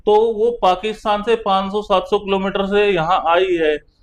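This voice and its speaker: In a Haryanvi accent, a man speaks at a high pitch. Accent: Haryanvi dialect unchanged. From Haryana. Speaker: Supreme Court lawyer. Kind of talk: interview discussion.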